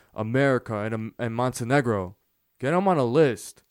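A plain, everyday voice with lively intonation at a moderate pace, on a very clean recording with a silent background. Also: man. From United States, Montenegrin immigrant parents. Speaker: podcast host. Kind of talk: solo podcast monologue.

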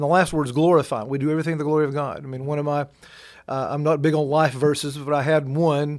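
In a very clean recording with a silent background, a man with a fairly high pitch and a Southern US accent talks at a very fast pace with fairly even intonation. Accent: Southern US (Georgia). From Georgia, US South. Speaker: pastor and newspaper editor. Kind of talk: interview. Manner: halting, many fillers.

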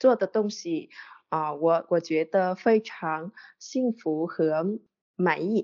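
A woman with a Vietnamese accent talks very slowly at a medium pitch, with ordinary pitch variation. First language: Vietnamese (speaking Chinese). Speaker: podcast listener, Chinese learner. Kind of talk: casual interview chat. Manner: halting, many fillers and repetitions.

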